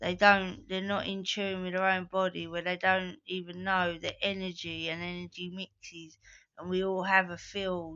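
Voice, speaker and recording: The woman's medium-pitched voice stays monotone and flat, moving at a moderate pace. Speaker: vlogger. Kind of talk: casual monologue.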